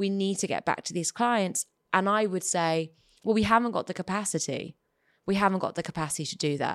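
In a very clean recording with a silent background, a woman talks at a fairly quick pace. She has a normal speaking voice, medium pitch and ordinary pitch variation. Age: 30s. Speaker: stand-up comedian and actor. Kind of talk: casual chat.

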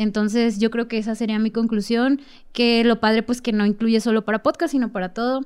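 This woman has an unremarkable speaking voice, fairly high in pitch, with fairly even intonation at a fairly quick pace. The recording is very clean, with a silent background. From Mexico outside the capital. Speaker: podcast guest. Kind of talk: casual chat.

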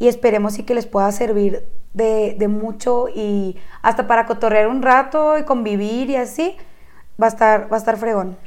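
Speaking at a moderate pace with a northern Mexican accent, a woman uses a high pitch and ordinary pitch variation. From Chihuahua, northern Mexico. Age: 20s. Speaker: podcast co-host. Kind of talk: casual chat.

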